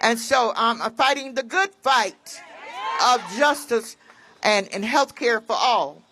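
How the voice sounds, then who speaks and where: A woman speaks at a very slow pace with a high pitch and lively intonation, in an American accent. Noticeable background noise can be heard. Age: 80s+. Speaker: patient advocate. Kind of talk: rally speech. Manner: halting.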